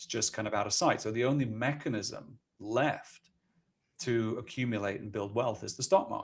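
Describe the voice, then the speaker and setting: The man talks fairly quickly, and the recording is very clean with a silent background. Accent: London. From Scotland. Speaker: ETF company executive. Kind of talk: podcast interview.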